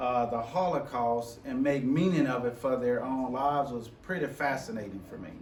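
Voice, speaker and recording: There is audible room echo and noticeable background noise as a man with an American accent talks at a medium pitch. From US South, Memphis, Tennessee. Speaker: educator and diversity officer. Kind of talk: presentation leading a group conversation. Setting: forum presentation before live audience. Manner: halting, many repetitions and fillers.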